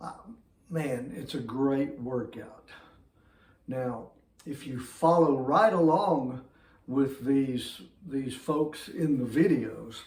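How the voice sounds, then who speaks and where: A man's fairly high voice with an American accent, very slow, full of long, frequent pauses, with audible room echo. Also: ordinary pitch variation, big swings in loudness. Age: 60s. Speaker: fitness vlogger. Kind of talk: casual talk to camera.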